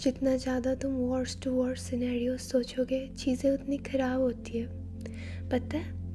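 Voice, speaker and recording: A woman talks in a soothing, gentle tone with hardly any pauses while music plays in the background. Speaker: ASMR creator. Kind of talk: ASMR roleplay, personal attention comfort talk. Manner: soft, soothing, gentle.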